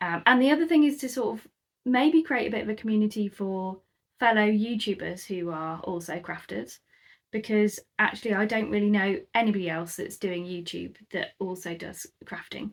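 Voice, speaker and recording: A woman with a British accent speaks at a moderate pace and medium pitch, with lively intonation and big swings in loudness, on a very clean recording with a silent background. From UK, moved around (Scotland, South Coast). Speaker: crafter and YouTuber. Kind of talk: casual chat to camera. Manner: hesitant, many ums.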